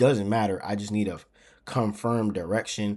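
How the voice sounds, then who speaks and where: Words come out very fast from this man. He talks at a fairly low pitch. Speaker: trading educator. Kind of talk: tutorial. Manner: casual, conversational.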